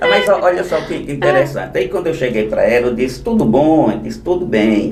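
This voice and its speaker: Over noticeable background noise and audible room echo, a man talks at a fairly quick pace at a medium pitch, his voice swinging very widely in pitch. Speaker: law teacher for civil service exam candidates. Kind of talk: casual podcast interview. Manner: fast.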